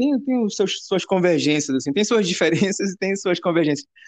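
A man with a high pitch and lively intonation. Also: hardly any pauses. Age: 30s. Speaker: musician. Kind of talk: casual chat. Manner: halting.

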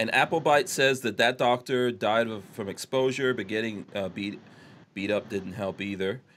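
An ordinary speaking voice from a man at a medium pitch, with ordinary pitch variation and a moderate pace. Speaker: podcast host. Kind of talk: casual live podcast chat. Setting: live online show, video call.

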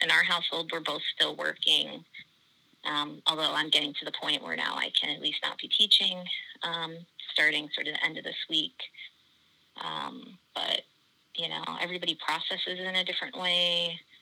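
A woman with an American accent, moderate pace, and long, frequent pauses. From US Virgin Islands. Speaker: anthropology professor. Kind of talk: casual interview chat.

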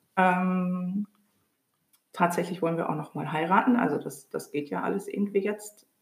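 The pace is moderate. Long pauses come often. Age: 40s. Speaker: theatre director and administrative officer. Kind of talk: casual chat.

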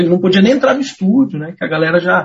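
A man with a high pitch, talking at a very fast pace. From Pinhais, Paraná, Brazil. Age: 20s. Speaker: radio journalist. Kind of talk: casual chat.

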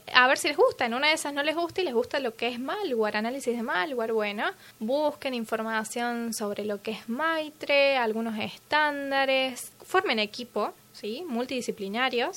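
A woman's high-pitched voice with a bright, sharp tone, at a moderate pace with hardly any pauses. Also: ordinary pitch variation. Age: 20s. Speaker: security engineer. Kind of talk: interview.

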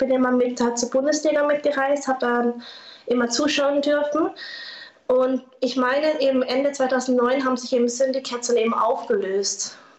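A woman speaks in a high voice with fairly even intonation over noticeable background noise. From southern Baden, Germany (Lörrach). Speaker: former paintball player and artist. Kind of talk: interview.

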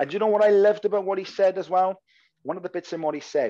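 A man's dark, mellow tone in a Welsh accent. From Wales. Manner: fast talker, slangy.

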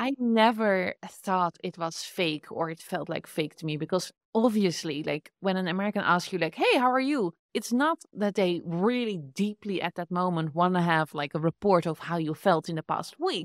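A woman with a Dutch accent speaks at a moderate pace with lively intonation. The sound is dry and close, with no echo. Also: hardly any pauses, very clean recording, silent background. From Netherlands. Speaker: podcast host and entrepreneur. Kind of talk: casual interview. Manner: animated, laughs often.

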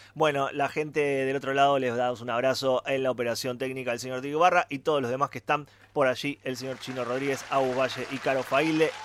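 In a Rioplatense accent, a medium-pitched man speaks very fast with hardly any pauses. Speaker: radio host. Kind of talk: casual chat. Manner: animated.

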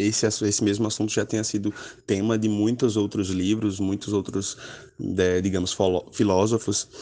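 In a monotone, flat delivery, a man speaks at a fairly low pitch against a quiet background. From Alagoas, Brazil. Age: 20s. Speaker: poet and author. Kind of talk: interview.

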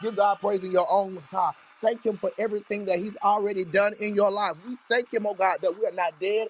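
Fairly quick and fairly even in intonation, the voice comes through dry and close with no echo, though noticeable background noise is present. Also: man, high pitch for a man. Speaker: online prayer room host, prophet. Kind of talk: casual worship show talk with prayer. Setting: online audio room.

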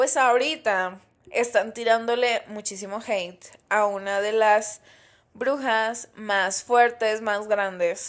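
In a Mexican accent, a woman with a fairly high voice speaks very slowly in a relaxed tone and fairly even intonation, on a very clean recording with a silent background. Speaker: podcast host. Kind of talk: casual solo podcast monologue.

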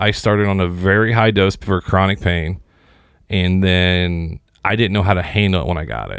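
A man with an American accent, a plain, everyday voice, fairly low pitch, and a fairly quick pace. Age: 30s. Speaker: podcast host. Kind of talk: casual interview chat.

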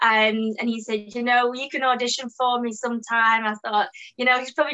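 Speaking in a British accent, a woman with a fairly high voice talks at a fairly quick pace with fairly even intonation. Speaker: actor. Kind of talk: casual interview chat. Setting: video call.

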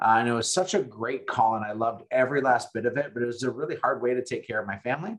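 A man talks very fast in an American accent. His pitch sits in the medium range. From North Dakota, US Upper Midwest (Fargo). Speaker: real estate agent and coach. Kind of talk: interview.

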